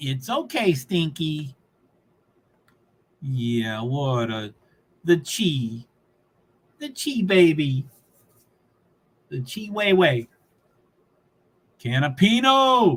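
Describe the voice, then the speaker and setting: Speaking very slowly with long, frequent pauses, a man with a fairly high pitch sounds somewhat breathy, his pitch swinging very widely and his loudness shifting in big swings. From Kentucky, Louisville. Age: 60s. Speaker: livestreamer. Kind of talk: live race commentary. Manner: casual, rambling.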